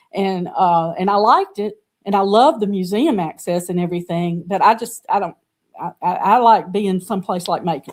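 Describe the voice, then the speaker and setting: At a moderate pace, a woman with medium pitch and ordinary pitch variation speaks in a Southern US accent. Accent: Southern US (Georgia). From US South, Georgia. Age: 70s. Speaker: artist and art teacher. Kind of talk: interview conversation.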